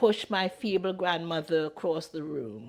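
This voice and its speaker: A woman speaks with lively intonation. Her voice sits fairly low. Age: 60s. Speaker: abuse survivor. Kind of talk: personal life story told to camera.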